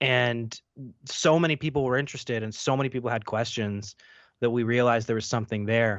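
A man with a normal speaking voice talks at a medium pitch and a fairly quick pace. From Canada. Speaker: paranormal investigator and filmmaker. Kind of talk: interview.

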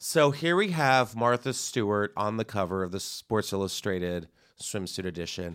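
This is a man with an ordinary speaking voice, fairly low in pitch, talking at a moderate pace with lively intonation. The recording is very clean, the background silent. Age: 30s. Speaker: podcast host and comedian. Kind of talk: casual chat.

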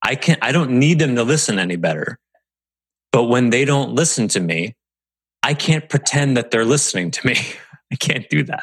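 With vocal fry and lively intonation, a man speaks at a medium pitch and a fairly quick pace, broken by long, frequent pauses. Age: 40s. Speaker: podcast host and business coach. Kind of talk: solo podcast monologue.

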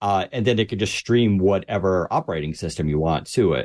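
Fairly quick speech with ordinary pitch variation over a quiet background. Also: man. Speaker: tech editor. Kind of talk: casual panel chat.

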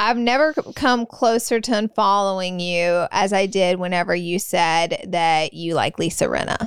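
On a very clean recording with a silent background, a woman at medium pitch speaks at a fairly slow pace with hardly any pauses, very even loudness and ordinary pitch variation. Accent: Southern US. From US South (Alabama). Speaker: podcast co-host, beauty influencer. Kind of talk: casual chat.

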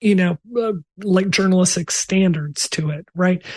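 A woman speaks in a fairly low pitch with a somewhat breathy quality. Her intonation stays fairly even. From Mississippi. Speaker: game developer. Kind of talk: casual chat.

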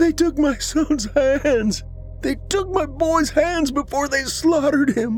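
Over clear background music, a put-on character voice speaks at a fairly slow pace. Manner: anguished, raw.

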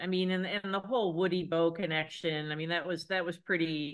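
A normal speaking voice from a woman with an American accent, fairly low pitch and a moderate pace. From Ohio, Cincinnati. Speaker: sports journalist. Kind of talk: casual interview.

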